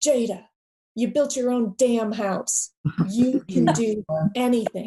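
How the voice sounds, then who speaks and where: In a put-on character voice, a woman booms at a fairly high pitch and fairly slow pace with ordinary pitch variation, the sound dry and close with no echo. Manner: loud, encouraging.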